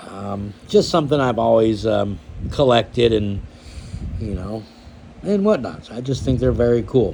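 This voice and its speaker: Noticeable background noise sits behind a man's medium-pitched voice. His intonation is lively. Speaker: knife collector YouTuber. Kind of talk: casual show-and-tell vlog. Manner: hesitant, many fillers.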